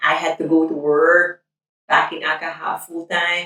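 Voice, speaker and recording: A woman speaks with a Filipino accent. Her pitch is fairly low. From Philippines. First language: Tagalog. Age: 30s. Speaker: nurse. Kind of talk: documentary interview.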